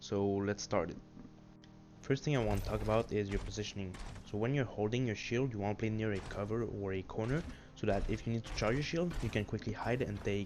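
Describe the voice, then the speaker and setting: A man's fairly low voice with a non-native accent, ordinary pitch variation and a fairly quick pace. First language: not English. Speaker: gaming tutorial creator. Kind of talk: tutorial.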